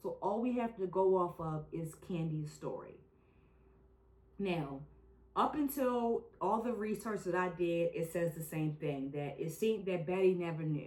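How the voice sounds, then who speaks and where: The woman's voice is fairly low, with lively intonation at a fairly slow pace. Noticeable background noise can be heard. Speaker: true crime podcast host. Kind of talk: casual chat. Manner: animated.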